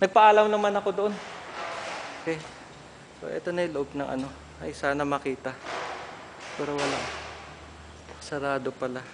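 A man at a fairly quick pace broken by long, frequent pauses, with noticeable background noise. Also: fairly high pitch for a man. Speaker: alumnus giving video tour of old school. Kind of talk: walking video tour narration. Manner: halting, with many fillers.

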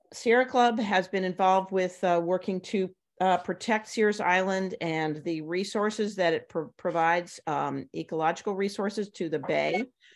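A plain, everyday voice at a moderate pace, with ordinary pitch variation. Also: woman. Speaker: event host. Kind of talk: meeting introduction. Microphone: video call.

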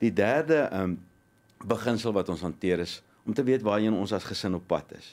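A man's voice, fairly low in pitch. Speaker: motivational speaker. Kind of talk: studio interview. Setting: studio. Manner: energetic. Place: studio. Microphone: studio mic.

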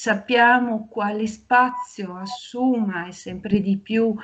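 Against a quiet background, a woman speaks in a somewhat breathy voice with fairly even intonation. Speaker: university professor. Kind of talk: formal welcome speech. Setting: video call. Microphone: video call.

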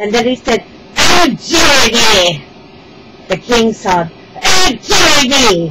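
A woman's put-on character voice, fairly high-pitched, bright and sharp in tone, with big pitch swings at a slow pace

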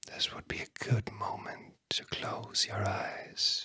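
A man is whispering, soft-spoken. Light background noise can be heard. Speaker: ASMR host. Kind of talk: soft guided relaxation whisper. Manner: soft ASMR whisper, slow and drowsy. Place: studio. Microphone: studio mic.

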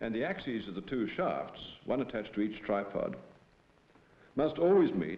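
With audible room echo, a man speaks at a fairly quick pace, his pitch swinging very widely. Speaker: professor presenting film. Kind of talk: scripted educational film narration, lecture-style. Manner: formal, measured, didactic. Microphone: old recording.

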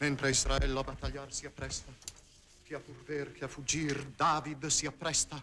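Noticeable background noise sits under a man's fairly high voice. He talks at a moderate pace with monotone, flat intonation. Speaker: stage actor. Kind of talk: 1959 theatrical verse tragedy performance, declaimed. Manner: impassioned, noble, heroic and urgent stage delivery. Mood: intense, solemn.

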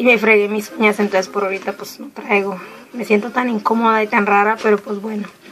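A woman speaks in a fairly high voice with flat, monotone intonation. Music plays in the background. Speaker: nail art vlogger. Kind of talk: casual vlog unboxing.

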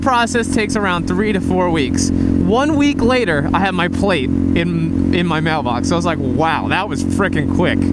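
The speech moves at a moderate pace with hardly any pauses, dry and echo-free under loud background noise. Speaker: motovlogger. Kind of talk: casual vlog chat. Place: motorbike. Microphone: helmet.

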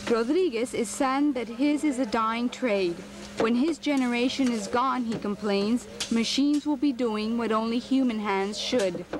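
Speaking at a moderate pace, a woman keeps her loudness very even over noticeable background noise. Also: fairly high pitch for a woman, ordinary pitch variation. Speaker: TV news reporter. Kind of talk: TV news report narration.

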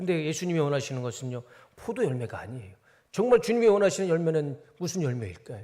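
Very fast delivery with a dark, mellow tone, very wide pitch swings and big jumps in loudness. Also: man, fairly high pitch for a man. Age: 40s. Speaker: pastor. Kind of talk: sermon.

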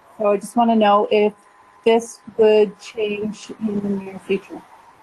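Noticeable background noise sits behind a woman. She speaks at a fairly slow pace with a fairly high pitch. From Calgary, Alberta, Canada. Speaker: caller. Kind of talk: call-in question.

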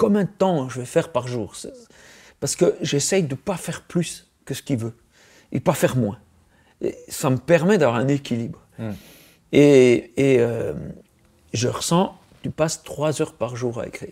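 A man speaks very slowly in a dark, mellow tone. Long, frequent pauses run through his speech. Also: quiet background. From Switzerland. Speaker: comic book artist. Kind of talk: interview. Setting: studio. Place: studio.

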